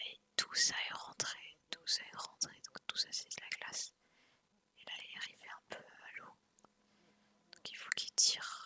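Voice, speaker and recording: Whispering in a calm tone at a fairly slow pace, with long, frequent pauses. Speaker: ASMR content creator. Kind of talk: casual commentary to camera during an outdoor trip. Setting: outdoors in snowy forest with ambient wind and motor sounds. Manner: soft, calm.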